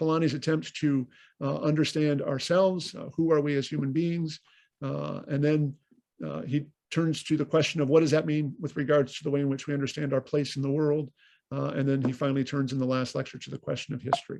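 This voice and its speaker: The man has a fairly high pitch and a fairly quick pace. His intonation is monotone and flat. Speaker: priest and lecturer. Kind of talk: lecture. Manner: fast; halting, many fillers.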